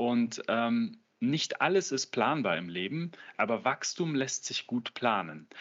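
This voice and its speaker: A man's very slow delivery with very wide pitch swings. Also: medium pitch for a man. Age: 30s. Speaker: business coach. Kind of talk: interview.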